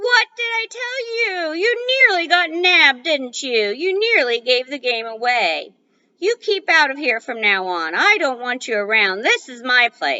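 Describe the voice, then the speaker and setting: Using a shrill, put-on character voice, a woman speaks in a high pitch with very wide pitch swings at a moderate pace, with hardly any pauses. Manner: shrieking, scolding.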